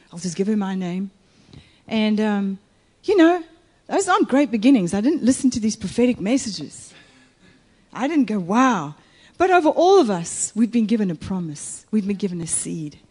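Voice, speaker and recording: Somewhat breathy and fairly high-pitched, a woman speaks at a moderate pace with very wide pitch swings and long, frequent pauses. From Italy. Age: 50s. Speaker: guest preacher. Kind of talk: sermon.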